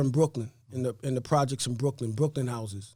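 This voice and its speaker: With a New York accent, a man speaks using ordinary pitch variation. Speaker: real estate investor. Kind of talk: interview. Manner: fast.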